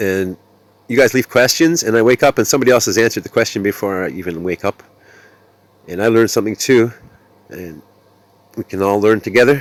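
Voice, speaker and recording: The speech is very fast yet broken by long, frequent pauses, with ordinary pitch variation and a dry, close sound with no echo. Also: man, medium pitch for a man. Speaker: gaming youtuber. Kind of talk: gameplay commentary. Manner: casual, halting.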